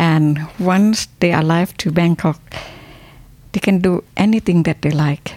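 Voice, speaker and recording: Speaking at a fairly slow pace, a woman uses a fairly low pitch and fairly even intonation. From Thailand. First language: Thai (speaking German). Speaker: university academic. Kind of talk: interview. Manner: halting.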